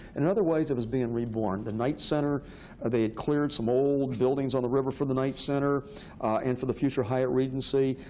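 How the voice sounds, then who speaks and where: Over music in the background, a man with a medium pitch speaks at a very fast pace with fairly even intonation. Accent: American. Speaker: historian. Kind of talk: interview.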